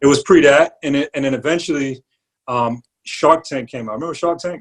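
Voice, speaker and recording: Speaking with a New York accent, the man keeps up a fairly quick pace. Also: ordinary pitch variation. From New York, the Bronx. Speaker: barber and entrepreneur. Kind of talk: interview. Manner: casual with slang and fillers.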